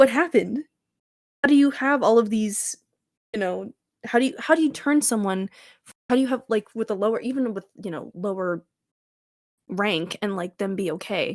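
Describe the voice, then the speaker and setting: A woman speaks at a moderate pace with a fairly high pitch, lively intonation, big swings in loudness and long, frequent pauses, in a dry, close sound with no echo. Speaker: podcast co-host. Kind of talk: casual chat. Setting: at home. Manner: animated.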